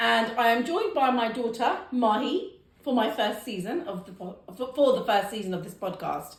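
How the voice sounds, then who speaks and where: Amid noticeable background noise and audible room echo, a woman with a fairly high pitch talks at a moderate pace in an animated tone, her intonation lively and her loudness swinging widely. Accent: British. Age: 40s. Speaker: podcast host. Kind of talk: casual chat.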